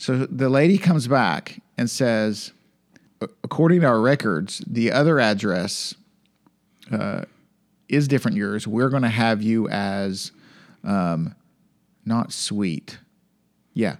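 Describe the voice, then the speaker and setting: A man with a Southern US accent speaks at a very slow pace in a medium pitch, his playful tone and lively intonation broken by long, frequent pauses. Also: very clean recording, silent background. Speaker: podcast co-host. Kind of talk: casual banter with Bible study. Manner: joking, playful.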